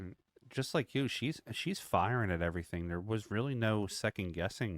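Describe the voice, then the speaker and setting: A plain, everyday voice with an American accent moves at a moderate pace with lively intonation. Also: man, fairly low pitch for a man. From US Northeast, Philadelphia. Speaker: sports commentator. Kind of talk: live commentary.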